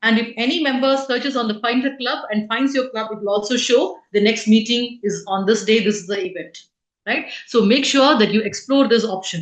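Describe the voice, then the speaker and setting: The woman talks at a moderate pace. She has a plain, everyday voice. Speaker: club officer trainer. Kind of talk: training session. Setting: online meeting.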